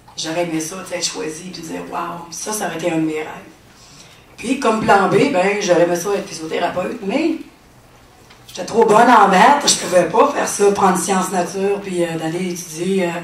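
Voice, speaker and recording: The voice shows ordinary pitch variation, with audible room echo and noticeable background noise around it. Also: woman, medium pitch for a woman, moderate pace, big swings in loudness. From Quebec City. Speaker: testimony speaker. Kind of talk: testimony. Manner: halting, many fillers.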